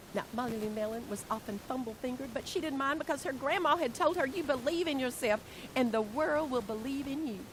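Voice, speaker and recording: A high-pitched woman with a Southern US accent talks at a very fast pace in an animated tone, with ordinary pitch variation and noticeable background noise. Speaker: educator, workshop presenter. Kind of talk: reading aloud.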